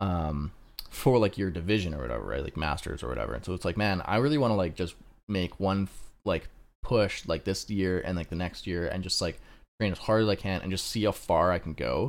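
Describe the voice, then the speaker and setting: A man with a very deep, low voice and vocal fry speaks at a fairly quick pace with lively intonation in a very clean recording with a silent background. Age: 20s. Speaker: podcast co-host. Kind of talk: casual chat.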